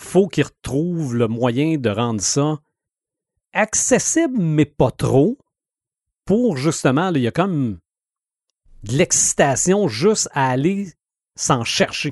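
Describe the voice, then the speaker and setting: Speaking at a very slow pace with long, frequent pauses, a man with a Quebec accent uses a fairly high pitch and very wide pitch swings, the sound dry and close with no echo against a quiet background. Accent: Québécois French. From Quebec, Sherbrooke. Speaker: radio host and podcaster. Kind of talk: casual chat.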